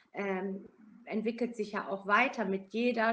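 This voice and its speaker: A woman's fairly high voice stays in fairly even intonation as she talks at a very slow pace. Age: 50s. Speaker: hospice manager and nurse. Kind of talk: interview.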